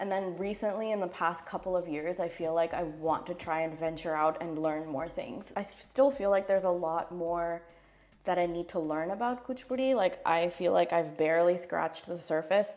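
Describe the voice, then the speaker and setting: In a normal speaking voice, a woman with an American accent talks at fairly low pitch and a moderate pace, with ordinary pitch variation. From US, California. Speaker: classical Indian dancer. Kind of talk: casual get-ready-with-me vlog. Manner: casual, chatty.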